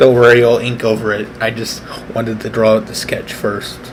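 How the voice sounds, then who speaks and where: There is noticeable background noise and audible room echo. Through it, a man speaks at medium pitch and a fairly slow pace. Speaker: artist live-streaming a speed painting. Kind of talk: casual live-stream drawing commentary. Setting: at home, live stream. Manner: halting, many fillers; soft-spoken, trying to be quiet.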